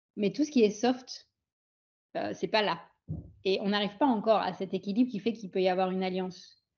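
A woman speaks in a somewhat breathy voice at a fairly quick pace. Long, frequent pauses break up her speech. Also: medium pitch for a woman, ordinary pitch variation. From France and Pondicherry, India. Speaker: physician and integrative health coach. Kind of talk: interview.

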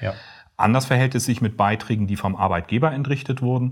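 In a very clean recording with a silent background, a man uses an ordinary speaking voice, talking at a fairly quick pace with ordinary pitch variation. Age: 40s. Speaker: pension insurance advisor. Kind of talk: interview.

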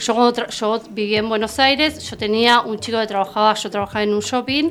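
Over noticeable background noise, a woman speaks fairly quickly in a fairly high pitch with ordinary pitch variation. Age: 40s. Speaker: therapeutic companion. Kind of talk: interview. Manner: halting.

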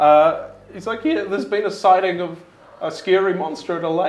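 The pitch moves in an ordinary way through this plain reading aloud.

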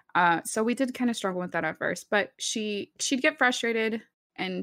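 A woman at a fairly quick pace with ordinary pitch variation, on a very clean recording with a silent background. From Texas. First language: Spanish. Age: 20s. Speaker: streamer. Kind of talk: casual chat.

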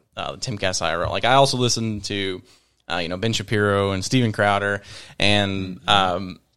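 Recorded very cleanly with a silent background, a man with an American accent speaks at a fairly low pitch with fairly even intonation in an unremarkable speaking voice. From Virginia. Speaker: podcast guest. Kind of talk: casual chat.

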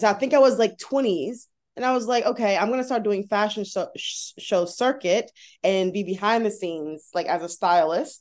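A plain, everyday voice comes from a woman at a fairly high pitch, talking at a moderate pace with ordinary pitch variation against a quiet background. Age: 30s. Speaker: plus size model and content creator. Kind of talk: casual interview chat.

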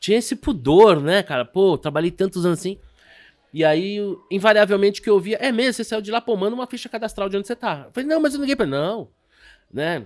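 This man's voice sits high in pitch. He talks very rapidly. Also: lively intonation, very clean recording, silent background. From Brazil, Rio de Janeiro. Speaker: stock market broker and investment advisor. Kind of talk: casual interview chat.

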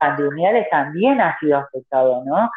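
A woman's lively intonation at a moderate pace, with music in the background. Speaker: activist. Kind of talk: interview. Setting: phone call. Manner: halting. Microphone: phone held far from mouth at first.

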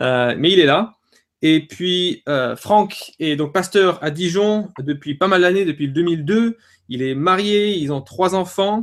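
A man's high-pitched voice at a very slow pace, with ordinary pitch variation. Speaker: blog co-founder and webinar host. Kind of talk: live webinar hosting. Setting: video call.

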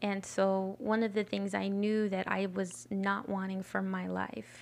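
A woman with an American accent and a medium pitch speaks in an unremarkable speaking voice at a fairly slow pace, on a very clean recording with a silent background. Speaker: podcast co-host. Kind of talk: casual chat.

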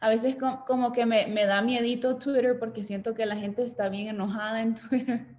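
In a monotone, flat intonation, a woman with a fairly high voice talks at a moderate pace. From Honduras. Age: 20s. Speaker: fitness business co-owner. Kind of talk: interview. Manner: repeats words, halting.

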